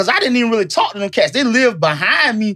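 A man with a high pitch, an animated tone and a very fast pace. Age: 40s. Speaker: podcast co-host. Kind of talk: casual chat.

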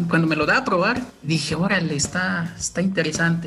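Noticeable background noise sits behind a man with a Chiapas accent. He talks at a fairly quick pace and a high pitch. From Chiapas, Mexico (Tumbalá). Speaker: coffee shop owner. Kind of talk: interview. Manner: halting, many fillers and repetitions.

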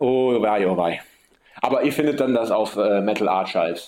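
A man with an Italian accent speaks at a moderate pace with lively intonation. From Sicily, Messina. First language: Italian (bilingual with German) (speaking German). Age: 30s. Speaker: metal drummer. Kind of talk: interview.

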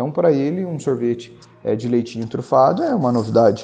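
A man is speaking. His intonation is lively. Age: 30s. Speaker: ice cream business owner. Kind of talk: interview.

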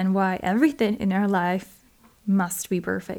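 On a very clean recording with a silent background, a woman with a medium pitch and a dark, mellow tone speaks with a non-native accent. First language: not English. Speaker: podcast host. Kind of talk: solo podcast monologue.

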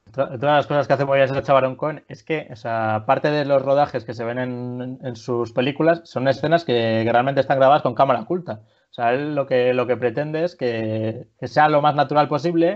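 A plain, everyday voice: a man at medium pitch, moderate pace and fairly even intonation, with hardly any pauses. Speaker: podcast host. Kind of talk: casual chat.

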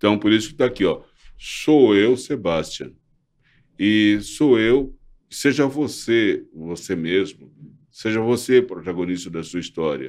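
Pausing long and often, a man with a fairly low voice talks fairly slowly with lively intonation, on a very clean recording with a silent background. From Brazil. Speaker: former advertising model and social activist. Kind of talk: interview. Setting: studio. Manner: halting.

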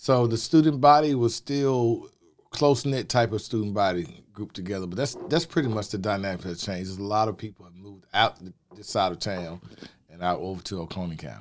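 A man in a Southern US accent, fairly low-pitched, with lively intonation and big swings in loudness. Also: fairly quick pace. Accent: Southern US (Georgia). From Athens, Georgia, US South. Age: 50s. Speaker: community outreach worker, school alumnus. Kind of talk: interview.

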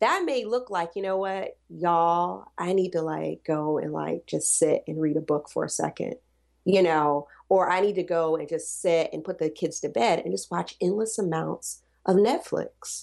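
A woman talks at a fairly slow pace with an American accent. The recording is very clean, with a silent background. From US South. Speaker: postpartum doula. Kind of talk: casual chat.

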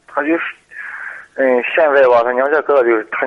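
The man's speech shows ordinary pitch variation. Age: 40s. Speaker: caller, construction worker. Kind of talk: phone-in advice call. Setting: phone call. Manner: halting.

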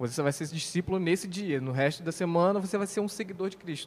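A man at a high pitch, ordinary pitch variation, very fast pace. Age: 20s. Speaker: civil engineer, church member. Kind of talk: casual religious discussion podcast.

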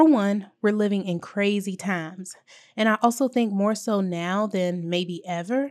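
A woman with an American accent talks at a moderate pace, using ordinary pitch variation. It is an ordinary speaking voice. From US South, small-town South Carolina. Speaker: podcast host. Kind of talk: scripted monologue, motivational reflection.

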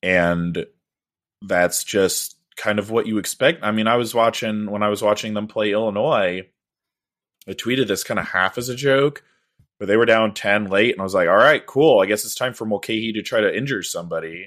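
A man's normal speaking voice, fairly low in pitch, with ordinary pitch variation, at a moderate pace, on a very clean recording with a silent background. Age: 30s. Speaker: basketball podcast host. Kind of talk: casual chat.

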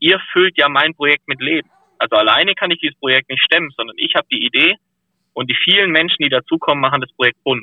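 Very fast talk from a man with a fairly high pitch and ordinary pitch variation. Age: 30s. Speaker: professional firefighter and diver, ice bather. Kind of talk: casual interview chat.

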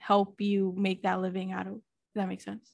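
A plain, everyday voice from a woman, medium in pitch, at a moderate pace against a quiet background. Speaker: podcast host. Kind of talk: casual interview chat.

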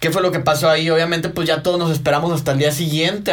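Audible room echo surrounds a man's speaking voice. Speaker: podcast host. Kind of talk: casual chat. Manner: animated.

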